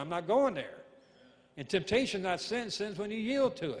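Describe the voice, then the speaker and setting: Here a man speaks with an American accent. His pitch is high and his intonation lively. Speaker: evangelist and singer. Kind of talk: sermon with call-and-response; preacher in full flow, rousing sermon. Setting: church stage with live congregation. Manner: animated, exhorting, repeats lines for emphasis; rhythmic, punchy, crowd-prompting.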